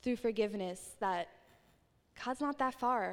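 Ordinary pitch variation in a woman's voice. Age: 20s. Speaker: youth ministry volunteer speaker. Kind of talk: youth sermon. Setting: live church youth service with audience. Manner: animated.

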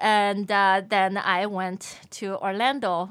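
A woman with a Chinese accent speaks at a medium pitch with fairly even intonation. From Shanghai, China. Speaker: language lesson presenter and entrepreneur. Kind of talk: interview.

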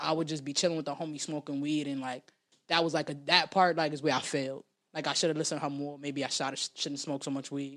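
The speaker talks at a very fast pace with a New York accent. The recording is very clean, with a silent background. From New York City, South Bronx. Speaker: rapper. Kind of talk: casual interview.

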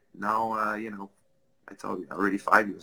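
The speaker has a French Canadian accent and a bright, sharp tone at a moderate pace. The sound is dry and close, with no echo. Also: man. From Quebec. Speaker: business executive. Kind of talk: interview. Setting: video call.

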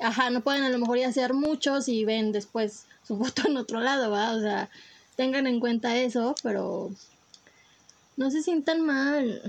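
A woman with a Mexican accent speaks fairly slowly at a high pitch, with ordinary pitch variation and very even loudness. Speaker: podcast co-host. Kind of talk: casual chat.

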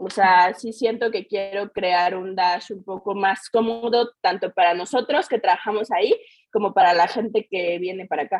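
An unremarkable speaking voice from a woman, medium in pitch, with fairly even intonation and a moderate pace. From Mexico, Querétaro. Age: 20s. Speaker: beauty studio founder. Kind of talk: interview.

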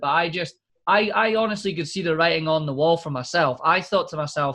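This man has a high-pitched voice with a bright, sharp tone and speaks with a Scottish accent. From Scotland. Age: 20s. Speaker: podcast host. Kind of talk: casual chat.

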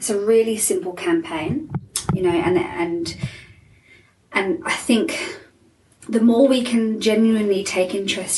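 A woman's voice moves through very wide pitch swings. Noticeable background noise and audible room echo surround it. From England. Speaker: life coach and motivational speaker. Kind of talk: interview.

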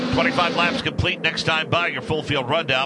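Background noise is noticeable throughout. Over it, a man's speech moves at a moderate pace. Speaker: radio play-by-play announcer. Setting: radio broadcast from track.

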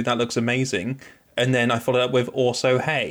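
Speaking at a fairly quick pace, a man with a British accent uses a medium pitch. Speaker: podcast host. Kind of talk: casual banter. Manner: joking, teasing.

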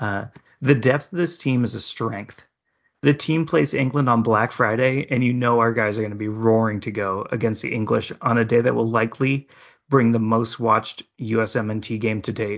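An unremarkable speaking voice comes through with an American accent. The pace is moderate and the pitch variation ordinary. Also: man, medium pitch for a man. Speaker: podcast host. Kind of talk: casual chat about soccer previews.

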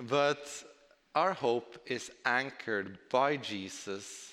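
A man speaks in a bright, sharp tone with a Norwegian accent. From southern Norway. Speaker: preacher. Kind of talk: sermon.

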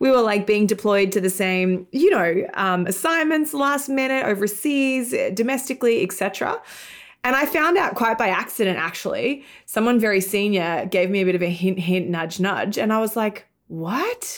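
A woman with an Australian accent speaks at a moderate pace in a fairly high voice, her tone animated, her intonation lively and her loudness very even. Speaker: tech entrepreneur and app founder. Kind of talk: casual interview chat.

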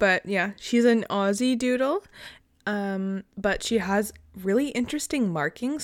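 Speaking in an ordinary speaking voice at medium pitch with ordinary pitch variation, a woman moves at a fairly slow pace, the sound dry and close with no echo on a very clean recording with a silent background. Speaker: true crime podcast co-host. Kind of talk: casual chat and case narration.

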